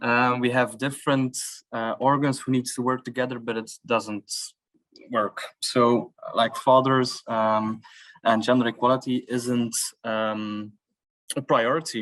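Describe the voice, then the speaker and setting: A man's medium-pitched, monotone voice with flat intonation, fairly slow, with long, frequent pauses. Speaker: coordinator of a fathers' learning network. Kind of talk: workshop discussion. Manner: halting, many fillers.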